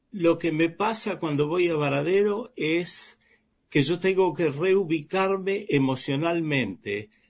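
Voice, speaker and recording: In an Argentine accent, a man speaks at a very slow pace. His pitch is high, with ordinary pitch variation. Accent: Rioplatense Argentine Spanish. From Argentina, Baradero (Buenos Aires province). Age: 70s. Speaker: writer. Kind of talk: interview.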